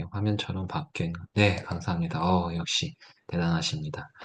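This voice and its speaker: Very wide pitch swings stand out against a quiet background. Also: man. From South Korea, Gyeongsang (Gyeongju). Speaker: teacher giving a workshop. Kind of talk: tutorial.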